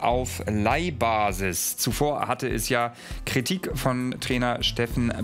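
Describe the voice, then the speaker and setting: Light background noise accompanies a man speaking at a very slow pace. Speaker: news presenter. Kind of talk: news presentation. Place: studio.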